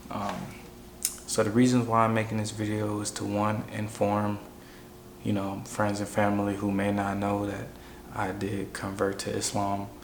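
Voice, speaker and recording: A quiet man with an American accent and a fairly low pitch, monotone and flat at a moderate pace, with long, frequent pauses, audible room echo and noticeable background noise. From Chicago, US. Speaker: vlogger sharing personal story. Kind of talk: personal testimony monologue. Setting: at home, wife asleep nearby. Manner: quiet, talking low; casual with many fillers.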